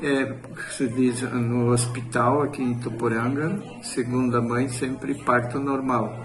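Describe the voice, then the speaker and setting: There is audible room echo and noticeable background noise. A man with a medium pitch speaks at a very slow pace. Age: 60s. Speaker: retired farmer, interviewee. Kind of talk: interview testimony.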